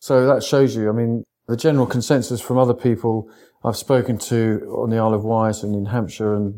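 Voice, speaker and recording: A man's medium-pitched voice with a southern English accent, dark and mellow in tone, flat and monotone in delivery, on a very clean recording with a silent background. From England, East Sussex. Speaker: sea angler and conservation campaigner. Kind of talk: casual interview.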